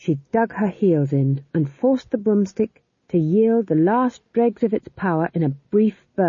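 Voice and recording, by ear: Against a quiet background, the reading aloud is in a natural voice with lively intonation.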